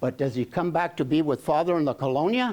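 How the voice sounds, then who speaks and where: His fairly high voice leaps through very wide pitch swings as this man speaks. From Oxnard, California (Mexican-American barrio). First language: Spanish. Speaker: educator and public speaker. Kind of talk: talk to an audience. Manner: code-switching between English and Spanish.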